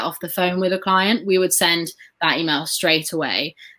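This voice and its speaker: With an English accent, a woman speaks at a moderate pace in a fairly low pitch, her tone bright and sharp and her intonation fairly even. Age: 20s. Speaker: former sales consultant. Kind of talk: online live training. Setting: live video stream.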